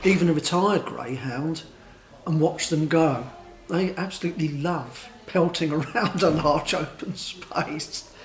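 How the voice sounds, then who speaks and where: A man speaks at a fairly slow pace in a high voice with ordinary pitch variation, over noticeable background noise. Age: 60s. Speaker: interviewee. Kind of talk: vox pop interview.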